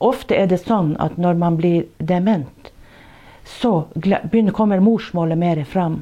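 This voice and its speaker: Recorded very cleanly against a silent background, a woman speaks at a fairly low pitch in a dark, mellow tone. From Børselv, Porsanger, Finnmark, northern Norway. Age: 60s. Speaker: nurse. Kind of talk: personal testimony and storytelling. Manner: halting, with many hesitations.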